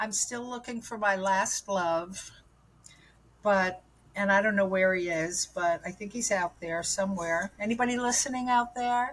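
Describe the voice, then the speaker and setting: Somewhat breathy, a woman with an American accent speaks at a fairly slow pace. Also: medium pitch for a woman, ordinary pitch variation. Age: 70s. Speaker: guest sharing recovery story. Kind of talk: testimony. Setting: podcast.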